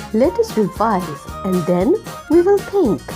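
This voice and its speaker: Music can be heard behind the speaker. The woman talks very slowly. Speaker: teacher. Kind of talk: children's phonics lesson. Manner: slow, clear.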